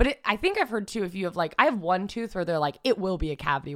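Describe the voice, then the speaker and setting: This woman talks at a very fast pace with ordinary pitch variation. The recording is very clean, with a silent background. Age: 20s. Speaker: comedian and TikToker. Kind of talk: casual chat.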